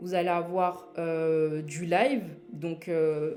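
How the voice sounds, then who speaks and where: A woman talks with music in the background and audible room echo around her. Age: 20s. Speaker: e-learning platform founder. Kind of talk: live product launch presentation. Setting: livestream. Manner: hesitant, many fillers.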